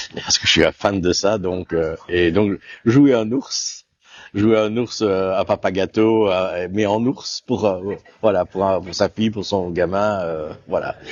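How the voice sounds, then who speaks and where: Fairly even intonation at a very slow pace. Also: man, fairly low pitch for a man. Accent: slight Walloon. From Belgium, Namur region. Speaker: actor. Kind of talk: interview. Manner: hesitant, many fillers.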